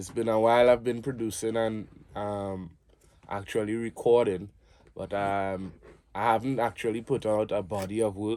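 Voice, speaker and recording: A man with a Trinidadian accent speaks at a moderate pace, his pitch fairly low and his tone dark and mellow. His intonation is monotone and flat, captured in a very clean recording with a silent background. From Trinidad and Tobago. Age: 30s. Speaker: musician and cultural advocate. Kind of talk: interview.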